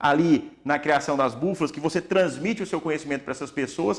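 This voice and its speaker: This is a normal speaking voice. The pitch varies in an ordinary way. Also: man. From Tocantins, Brazil. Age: 30s. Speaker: orthopedic doctor. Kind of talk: podcast interview.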